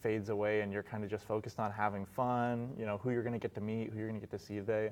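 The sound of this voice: A man talks at a fairly quick pace with a fairly low pitch. His tone is slightly mellow, and his pitch moves little.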